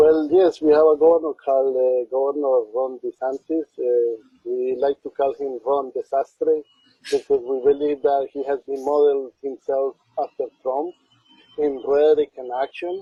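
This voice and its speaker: Speaking in a Spanish accent, a man uses a fairly high pitch and monotone, flat intonation at a moderate pace. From Colombia. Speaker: community organizer. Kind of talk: interview.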